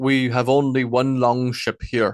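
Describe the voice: The clip consists of plain reading aloud.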